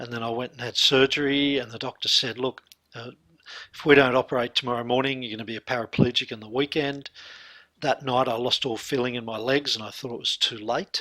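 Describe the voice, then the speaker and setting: A man with an Australian accent, a bright, sharp tone, monotone, flat intonation and big swings in loudness. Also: medium pitch for a man, fairly quick pace, dry, close sound with no echo. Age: 60s. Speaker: hypnotherapist and mindset coach. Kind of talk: interview testimony.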